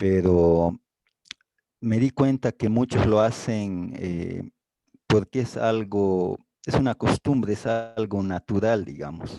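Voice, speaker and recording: A man with a dark, mellow tone and a fairly low pitch speaks at a very slow pace in a dry, close sound with no echo. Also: ordinary pitch variation. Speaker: class participant. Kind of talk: testimony in class discussion.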